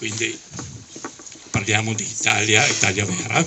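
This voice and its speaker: Noticeable background noise sits behind a man's medium-pitched voice. He talks at a fairly slow pace. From Dalmatia (Zadar), exiled to Italy as a child. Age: 70s. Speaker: exile and Alpini veterans' association official. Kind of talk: testimony speech at a commemoration. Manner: emotional.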